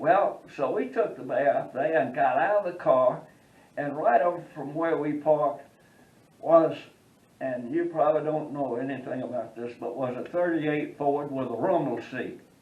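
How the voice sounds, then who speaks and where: Speaking at a moderate pace, a man with a fairly high pitch uses ordinary pitch variation, with noticeable background noise behind him. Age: 80s+. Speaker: war veteran. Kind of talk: anecdote storytelling.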